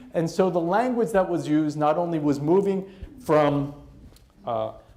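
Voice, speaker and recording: Speaking with an American accent, a man uses a high pitch and ordinary pitch variation at a moderate pace. Audible room echo surrounds his voice. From US East Coast. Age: 50s. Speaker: professor. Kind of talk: lecture.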